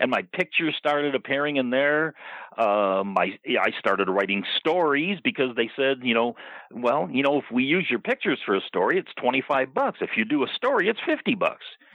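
Lively intonation in an ordinary speaking voice. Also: man, fairly high pitch for a man, moderate pace, very even loudness. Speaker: wrestling insider. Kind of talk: casual chat. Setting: phone call.

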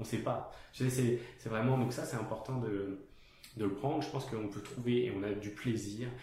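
A man at medium pitch and moderate pace with fairly even intonation, amid noticeable background noise and audible room echo. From France. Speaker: podcast host, designer. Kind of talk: casual interview. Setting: guest's studio office.

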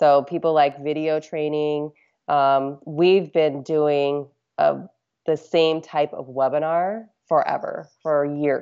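A woman speaks very slowly in a very deep, low voice with flat, monotone intonation. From Alaska. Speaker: marketing company founder. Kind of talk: interview.

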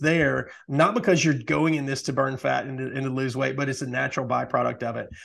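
A man speaks in a plain, everyday voice at a fairly high pitch and a fairly quick pace. His pitch variation is ordinary, and the background is quiet. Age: 40s. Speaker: podcast host, retired nurse. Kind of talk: casual chat.

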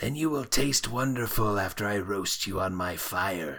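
A man puts on a raspy character voice with a fairly low pitch. He talks at a moderate pace. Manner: threatening, gloating.

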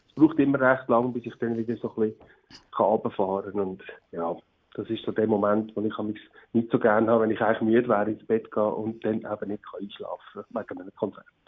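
A man with an unremarkable speaking voice talks at a fairly quick pace and a medium pitch. His intonation stays fairly even, but his loudness swings widely. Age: 50s. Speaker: singer-songwriter. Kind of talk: interview. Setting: phone call.

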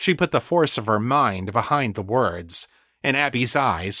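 The text is read aloud plainly, with little sound behind it.

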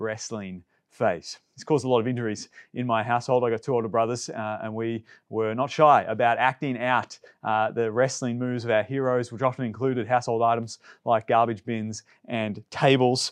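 With an Australian accent, a man speaks at a fairly quick pace in a medium pitch over a quiet background. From Melbourne, Australia. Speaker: pastor. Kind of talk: sermon.

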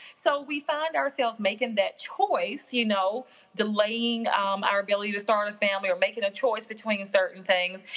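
Against noticeable background noise, a woman with a Southern US accent and a fairly high pitch talks at a moderate pace with ordinary pitch variation and hardly any pauses. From Alabama, US South. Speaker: workplace consultant and author. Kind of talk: casual interview chat. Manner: warm, comforting delivery.

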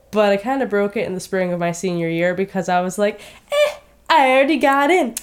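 A woman with a plain, everyday voice and an American accent speaks at a medium pitch and fairly quick pace, with lively intonation. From Michigan, Detroit area. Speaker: veterinary student. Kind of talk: casual chat.

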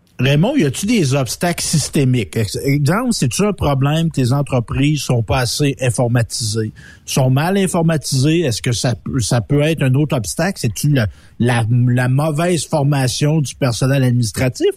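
A somewhat breathy man's voice, fairly high in pitch, with ordinary pitch variation at a moderate pace. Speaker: radio co-host. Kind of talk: casual chat.

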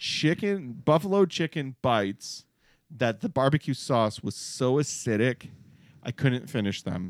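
In a very clean recording with a silent background, a speaker with an American accent talks at a fairly slow pace with very wide pitch swings. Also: man, medium pitch for a man. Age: 40s. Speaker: podcast host. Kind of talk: casual chat. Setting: studio.

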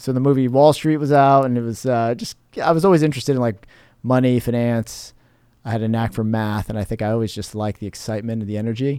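Speaking very fast, a man with a medium pitch and dark, mellow tone shows ordinary pitch variation. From New Jersey, raised in southwest Florida from 1987. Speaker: real estate developer and lender. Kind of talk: interview conversation.

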